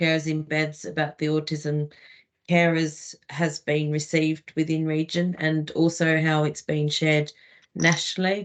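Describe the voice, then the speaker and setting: A woman speaks with a very deep, low voice. Her pace is fairly slow. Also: quiet background. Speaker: regional lead. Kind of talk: online meeting remarks. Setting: video call.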